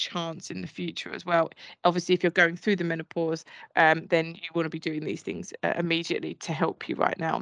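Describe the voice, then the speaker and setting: A woman with an Essex accent speaks at a fairly low pitch, her voice dry and close with no echo against a quiet background. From Essex, England. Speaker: podcast host. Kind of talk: casual chat.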